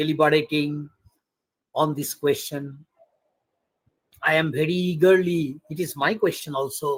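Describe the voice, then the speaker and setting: A somewhat breathy man with a fairly high pitch, fairly even intonation, a fairly slow pace and long, frequent pauses. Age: 60s. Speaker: retired political science professor. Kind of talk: academic webinar Q&A. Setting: video call.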